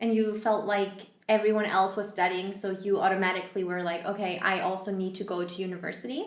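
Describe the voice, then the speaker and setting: A woman rattles along at a very fast pace with hardly any pauses, her medium-pitched voice monotone and flat, with noticeable background noise and audible room echo. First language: not English. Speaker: podcast host. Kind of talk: interview.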